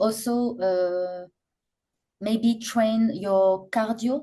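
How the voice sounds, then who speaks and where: A woman speaks very slowly in a fairly high, somewhat breathy voice with a dark, mellow tone and fairly even intonation. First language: not English. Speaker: professional popping dancer. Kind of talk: podcast interview. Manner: halting, many repetitions and fillers.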